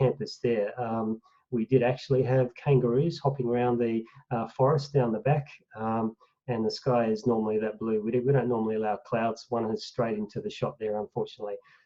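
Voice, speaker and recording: A man with an Australian accent talks at a fairly quick pace, his medium-pitched voice keeping a fairly even intonation. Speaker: professor of animal welfare, veterinarian. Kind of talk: online lecture presentation.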